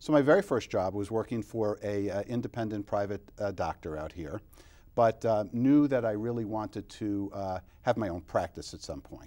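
Against a quiet background, a man with an American accent speaks in a dark, mellow tone at a fairly low pitch. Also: ordinary pitch variation, moderate pace, big swings in loudness. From New York, Long Island; New York. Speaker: optometrist; guest. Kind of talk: interview. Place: studio. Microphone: lapel.

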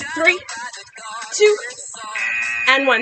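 The voice is raised and projected. Music plays in the background. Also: woman. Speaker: fitness instructor. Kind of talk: workout coaching cues. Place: garden.

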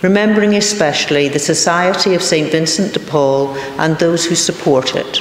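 A woman talks at a moderate pace with audible room echo. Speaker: reader of intercessions. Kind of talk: reading prayers of the faithful. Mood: calm, reverent. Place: church. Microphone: podium.

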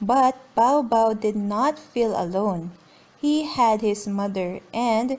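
The pitch moves in an ordinary way. Someone reads aloud in a natural voice.

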